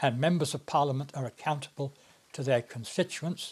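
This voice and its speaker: Speaking with a British accent, a man uses a fairly high pitch and a somewhat breathy voice at a moderate pace. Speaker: retired politician. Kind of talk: interview monologue. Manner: hesitant with frequent uh fillers.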